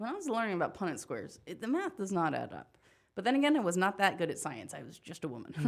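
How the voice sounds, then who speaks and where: Talking at a very fast pace with an American accent, a woman of medium pitch shows vocal fry, very wide pitch swings and big swings in loudness. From rural Pennsylvania. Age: 20s. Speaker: stand-up comedian. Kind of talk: casual chat. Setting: studio.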